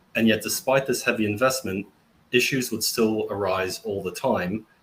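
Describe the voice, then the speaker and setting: A man with an Australian accent talks at a fairly quick pace. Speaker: tech company founder. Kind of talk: webinar panel introduction.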